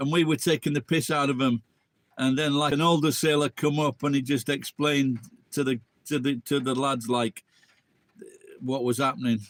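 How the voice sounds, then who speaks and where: Someone with an English accent speaks with fairly even intonation, very even loudness and long, frequent pauses in a dry, close sound with no echo. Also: man, fairly high pitch for a man, moderate pace. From England. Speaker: live streamer. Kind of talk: casual live stream chat.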